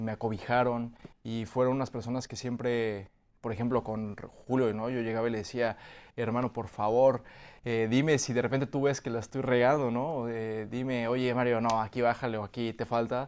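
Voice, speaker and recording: Moderately paced, the speech comes out monotone and flat. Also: man, medium pitch for a man. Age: 30s. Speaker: actor. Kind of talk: interview. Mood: warm, grateful. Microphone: video call.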